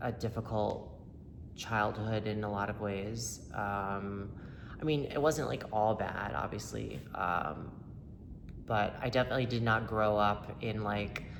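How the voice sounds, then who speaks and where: Heard with audible room echo, a man with an American accent speaks at a fairly low pitch. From upstate New York and North Carolina. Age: 30s. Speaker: person in recovery sharing testimony. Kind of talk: testimony. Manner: halting, many fillers; casual, conversational.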